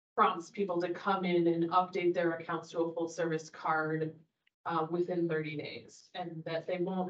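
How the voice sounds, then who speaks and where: A woman with a normal speaking voice, fairly low pitch and moderate pace. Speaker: library staff giving a report. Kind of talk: meeting report. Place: meeting room.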